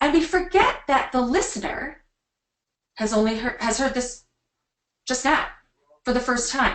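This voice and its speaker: This is a woman's voice. Her pitch is high. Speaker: speech coach. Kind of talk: webinar presentation.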